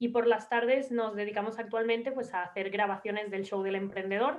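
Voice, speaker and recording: Using a normal speaking voice, this woman keeps a medium pitch and fairly even intonation. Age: 20s. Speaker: entrepreneur, interview show creator. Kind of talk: podcast interview.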